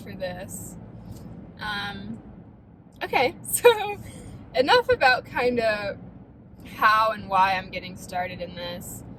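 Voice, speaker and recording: A woman with an American accent speaks at a very slow pace. Noticeable background noise is present. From US Midwest, Ohio (Defiance). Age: 20s. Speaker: vlogger. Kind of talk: casual vlog talk.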